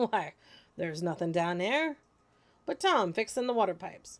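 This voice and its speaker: Using a put-on character voice, a woman speaks at a moderate pace and medium pitch with very wide pitch swings. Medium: read story. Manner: friendly, fatherly.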